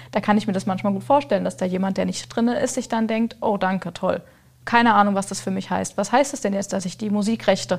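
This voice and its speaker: At a fairly quick pace, a woman of medium pitch speaks with vocal fry and ordinary pitch variation in a very clean recording with a silent background. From Lower Franconia, Germany. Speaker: business founder. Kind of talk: casual chat.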